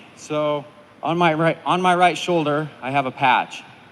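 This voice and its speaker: Noticeable background noise runs under the recording. A man speaks with a fairly high pitch. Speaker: firefighter being promoted to captain. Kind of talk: speech at ceremony. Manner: loud.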